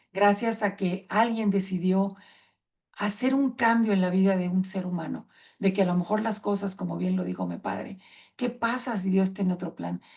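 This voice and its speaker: This woman's somewhat breathy voice sits at a medium pitch, moving at a moderate pace with fairly even intonation. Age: 60s. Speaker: patient advocate speaker. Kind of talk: conference talk.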